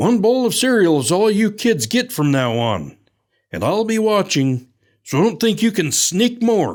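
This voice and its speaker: Putting on a character voice, a man talks in a high pitch with very wide pitch swings at a moderate pace and very even loudness, in a very clean recording with a silent background. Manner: stern, warning.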